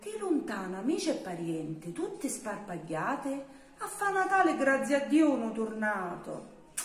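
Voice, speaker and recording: A woman with a southern Italian accent speaks in a high pitch, her voice swinging very widely up and down. Room echo can be heard around her. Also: fairly slow pace. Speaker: poetry reciter. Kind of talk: dialect poetry reading. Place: home room. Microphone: phone near.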